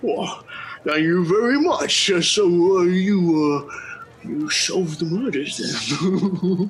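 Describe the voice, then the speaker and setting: The pace here is very slow. It is a put-on character voice pitched in the middle. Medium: actual play. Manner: nervous, stammering.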